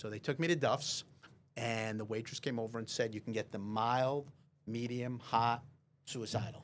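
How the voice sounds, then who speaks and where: Fairly even in intonation, a man with a medium-pitched voice speaks at a moderate pace. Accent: Long Island. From Long Island, New York. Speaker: real estate lawyer. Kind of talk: casual chat.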